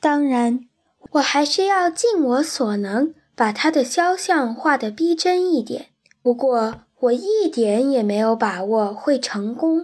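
With very wide pitch swings, a woman talks in a high voice at a fairly slow pace. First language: Chinese. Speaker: children's story reader. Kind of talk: bilingual reading aloud.

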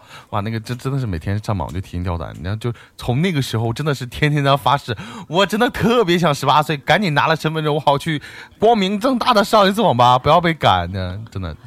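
A man speaks very fast at a fairly high pitch. His pitch swings very widely. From Chinese dialect region. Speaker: podcast co-host. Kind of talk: casual chat. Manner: halting.

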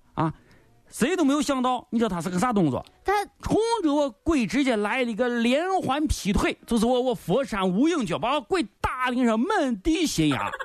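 Music plays in the background as a man speaks at a moderate pace. His pitch is extremely high, with very wide swings. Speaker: radio comedy host. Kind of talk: comic storytelling. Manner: animated.

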